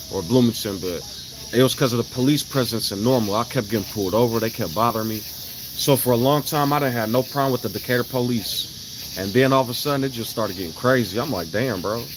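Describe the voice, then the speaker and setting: With noticeable background noise behind him, a man talks at a fairly quick pace with a medium pitch and ordinary pitch variation. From Chicago, US Midwest. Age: 30s. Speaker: live streamer. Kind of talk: casual livestream chat.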